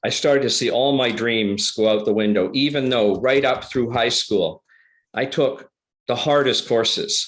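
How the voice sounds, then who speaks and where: This man has a normal speaking voice, pitched in the medium range with ordinary pitch variation. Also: moderate pace, very even loudness. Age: 60s. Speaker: public speaker. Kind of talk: interview answer.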